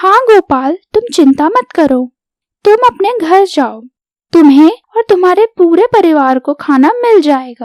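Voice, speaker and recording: A woman uses a cartoonish character voice with an extremely high pitch, speaking at a fairly slow pace. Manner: brisk, self-assured.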